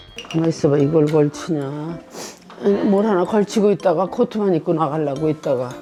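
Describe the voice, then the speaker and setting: Music plays in the background as a woman speaks at a moderate pace. She leaves long, frequent pauses. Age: 80s+. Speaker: senior YouTuber. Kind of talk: casual conversation.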